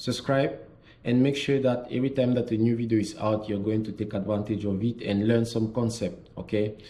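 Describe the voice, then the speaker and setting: With a French accent, a man speaks at medium pitch in a dark, mellow tone. His pace is moderate, his pitch variation ordinary, and room echo is audible. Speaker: French tutor. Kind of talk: tutorial.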